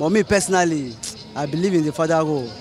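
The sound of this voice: Faint music plays behind a man with a slightly mellow tone. He talks fast with ordinary pitch variation. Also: fairly high pitch for a man.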